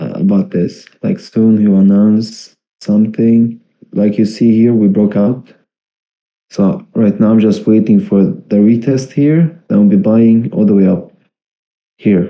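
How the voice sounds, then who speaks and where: A man's fairly low-pitched voice at a fairly slow pace, a plain, everyday voice. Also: ordinary pitch variation. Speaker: crypto livestreamer. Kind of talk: casual livestream chart analysis. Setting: livestream.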